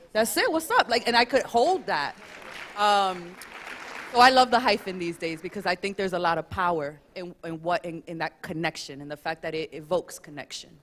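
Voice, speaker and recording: A woman speaks with lively intonation over crowd noise in the background. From US, Dominican family. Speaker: panelist. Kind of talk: panel discussion.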